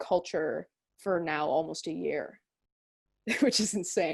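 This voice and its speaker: A woman's voice with vocal fry, fairly slow in pace and ordinary in pitch variation. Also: very clean recording, silent background. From Spanish-speaking Ecuadorian family. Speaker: artist and musician. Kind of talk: interview. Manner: casual, filler-heavy.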